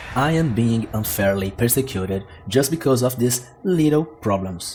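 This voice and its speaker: The voice is somewhat breathy, moving at a moderate pace with ordinary pitch variation, in a very clean recording with a silent background. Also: man. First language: Portuguese. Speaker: gaming YouTuber. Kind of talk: scripted narration.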